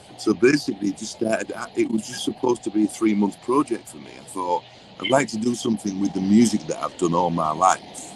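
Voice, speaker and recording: Talking at a very fast pace, a man with a fairly low pitch and ordinary pitch variation is heard over noticeable background noise. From England. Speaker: songwriter and record producer. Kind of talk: interview.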